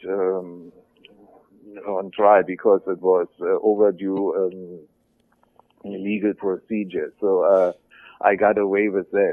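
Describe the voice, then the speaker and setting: In a German accent, a man with a fairly low pitch speaks very slowly in a monotone, flat intonation, with long, frequent pauses. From West Germany (Berlin). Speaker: former militant turned author. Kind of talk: interview.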